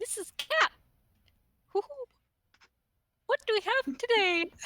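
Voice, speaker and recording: In a put-on character voice, the speaker talks at a fairly slow pace and an extremely high pitch. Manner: hooting, playful.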